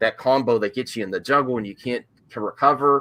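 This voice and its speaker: The tone is bright and sharp, delivered at a very fast pace on a very clean recording with a silent background. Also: man. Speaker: gaming podcast host. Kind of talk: casual chat.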